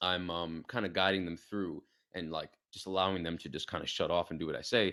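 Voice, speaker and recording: In a very clean recording with a silent background, a man speaks with an American accent. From New York City, Queens. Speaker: fitness coach. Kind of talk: podcast interview. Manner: fast.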